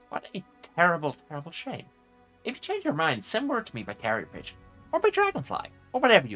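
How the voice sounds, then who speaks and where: Doing a put-on character voice, a man talks very fast in a high pitch with long, frequent pauses while faint music plays in the background. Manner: eager, whimsical.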